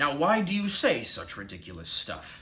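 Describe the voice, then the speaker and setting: A man's gruff, growling put-on character voice at a moderate pace. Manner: growling, gruff.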